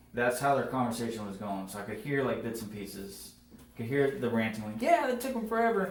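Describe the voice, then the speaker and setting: Amid noticeable background noise and audible room echo, a man talks at a fairly quick pace with big swings in loudness. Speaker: firefighter. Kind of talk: police interview.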